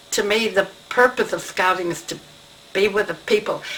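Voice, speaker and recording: Noticeable background noise runs under this recording. A woman speaks at a moderate pace with medium pitch. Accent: American. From New York City. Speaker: retired scout leader. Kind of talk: oral history interview.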